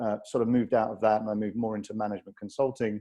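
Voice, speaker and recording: This man speaks with a British accent. His pitch is medium. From Britain. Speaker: real estate investment executive. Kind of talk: webinar presentation.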